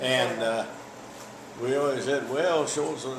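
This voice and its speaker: Over noticeable background noise, a man speaks at moderate pace with medium pitch and ordinary pitch variation. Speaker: World War II veteran, former prisoner of war. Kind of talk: interview answer.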